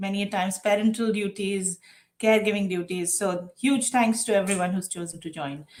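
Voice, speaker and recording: A woman with an Indian accent speaks at a moderate pace, her medium pitch showing ordinary variation. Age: 40s. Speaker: diversity and inclusion executive. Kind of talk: interview.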